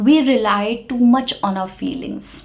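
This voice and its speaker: Over audible room echo, a woman with an Indian accent talks at a fairly slow pace with lively intonation. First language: Hindi. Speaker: English teacher. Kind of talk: lecture. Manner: relaxed, clearly enunciated.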